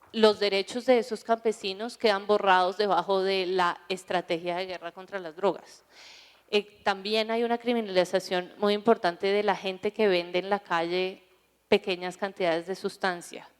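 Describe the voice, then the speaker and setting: A woman speaks in a Colombian accent at a medium pitch. Her intonation is monotone and flat. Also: moderate pace. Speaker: drug policy panelist. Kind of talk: conference panel talk.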